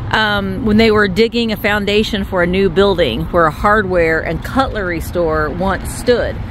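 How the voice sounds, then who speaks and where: Noticeable background noise sits behind a woman speaking at a fairly slow pace, the sound dry with no echo. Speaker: travel vlogger. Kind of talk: casual vlog chat. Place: street. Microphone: phone near.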